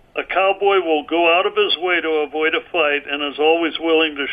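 Noticeable background noise sits behind a man speaking at a moderate pace. His pitch is fairly high, and his intonation is fairly even. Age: 70s. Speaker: author, martial arts teacher and rancher. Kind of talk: interview conversation. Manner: halting, many fillers.

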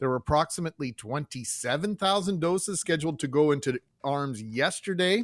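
With a Canadian accent and lively intonation, this is an ordinary speaking voice. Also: man, fairly high pitch for a man, moderate pace, dry, close sound with no echo. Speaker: radio co-host. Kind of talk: casual chat.

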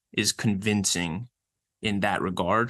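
Against a quiet background, a man with a normal speaking voice talks fairly slowly in a fairly low pitch with ordinary pitch variation. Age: 20s. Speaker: exercise science researcher and personal trainer. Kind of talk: casual interview.

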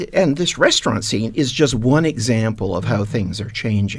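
Lively intonation marks a man's plain, everyday voice as he speaks at a fairly slow pace. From Canada, east end of Hamilton, Ontario. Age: 60s. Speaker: retired businessman, heritage shop owner. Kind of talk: radio panel discussion. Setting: radio studio.

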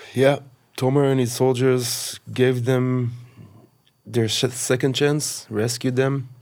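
A man with an Israeli accent at a very slow pace, monotone and flat in intonation, his loudness very even. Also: medium pitch for a man. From Israel, kibbutz on the Gaza border. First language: Hebrew. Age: 40s. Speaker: massacre survivor. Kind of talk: testimony. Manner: halting.

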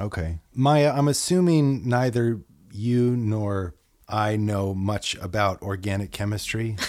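Delivered at a very slow pace, the speech shows ordinary pitch variation. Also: man, fairly low pitch for a man. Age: 40s. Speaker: podcast host. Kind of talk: casual interview. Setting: remote recording.

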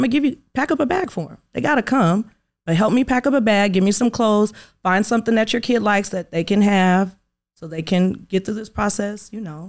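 On a very clean recording with a silent background, a woman with an unremarkable speaking voice speaks at a fairly quick pace with a medium pitch and ordinary pitch variation. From Inglewood, California. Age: 30s. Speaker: magazine owner and beauty supply entrepreneur. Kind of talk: interview.

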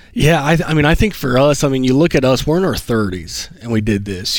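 A man with a Southern US accent, medium pitch, moderate pace. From Alabama, US South. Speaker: guest who paid off debt. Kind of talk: interview. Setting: studio lobby stage.

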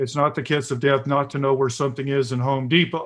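Here a man has a normal speaking voice with an American accent. He speaks at a fairly quick pace and a fairly high pitch. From US South. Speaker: author. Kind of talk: interview.

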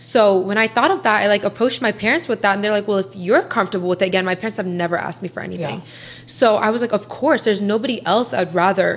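Over noticeable background noise, a woman talks at a very fast pace with medium pitch and ordinary pitch variation. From US Midwest (Columbus, Ohio). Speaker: social media influencer. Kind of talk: casual interview chat.

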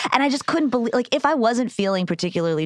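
A woman talking at a very fast pace with very wide pitch swings, over noticeable background noise. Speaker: comedian. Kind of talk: casual chat. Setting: studio.

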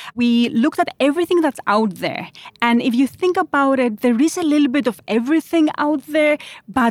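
A woman with a Greek accent and lively intonation, in a dry, close sound with no echo and a very clean recording with a silent background. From Greece. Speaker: founder and CEO. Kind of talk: interview. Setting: recorded in person at a conference.

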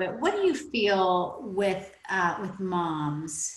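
With audible room echo, a woman speaks at a very slow pace. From Oklahoma. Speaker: podcast host and business mentor. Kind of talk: interview.

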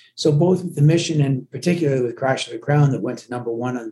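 A man's fairly high, somewhat breathy voice, dark and mellow in tone, with ordinary pitch variation. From Glasgow, Scotland, raised in Canada. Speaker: touring rock musician. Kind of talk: casual interview chat. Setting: on the road, remote call.

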